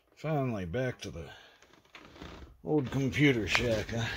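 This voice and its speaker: Very slow speech with an Appalachian accent. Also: man. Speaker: retro computing vlogger. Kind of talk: casual vlog monologue. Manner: rambling, halting.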